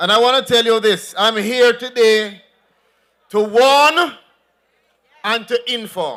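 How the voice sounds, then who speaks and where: Speaking very slowly with long, frequent pauses, a man with a Jamaican accent has an extremely high pitch and ordinary pitch variation. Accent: Jamaican, with patois. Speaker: politician. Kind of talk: political rally speech. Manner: animated.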